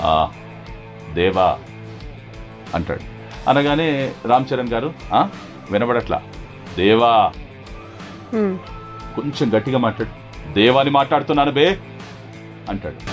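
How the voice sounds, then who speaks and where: A man talks at a medium pitch with lively intonation. Faint music sits in the background. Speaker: dubbing artist. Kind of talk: interview answer, recounting a dubbed scene. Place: studio. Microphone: lapel.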